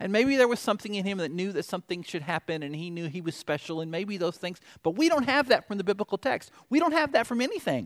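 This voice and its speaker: Recorded very cleanly against a silent background with a dry, close sound and no echo, a man with a Southern US accent and a high pitch talks at a very fast pace with hardly any pauses and very wide pitch swings. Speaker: pastor. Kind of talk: sermon. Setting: church.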